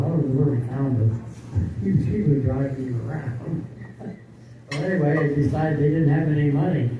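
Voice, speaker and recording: Over noticeable background noise and audible room echo, a man talks at a moderate pace with a fairly high pitch and fairly even intonation. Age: 80s+. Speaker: retired senior telling life stories. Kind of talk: casual storytelling. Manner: halting.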